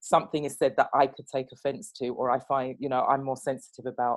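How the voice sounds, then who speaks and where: In a British accent, a woman speaks with a very deep, low pitch. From England. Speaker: guest host and manager. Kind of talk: casual chat.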